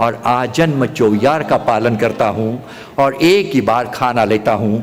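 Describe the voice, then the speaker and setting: Noticeable background noise sits behind a voice with lively intonation. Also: man. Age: 80s+. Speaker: physician. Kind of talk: speech at religious gathering.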